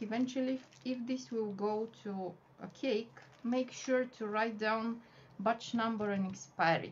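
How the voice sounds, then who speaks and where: A woman's fairly high, somewhat breathy voice in a Bulgarian accent, at a very slow pace over light background noise. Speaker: wafer paper flower artist and teacher; cake decorating instructor. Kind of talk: tutorial. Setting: live video stream from home. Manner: halting, many fillers. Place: home room.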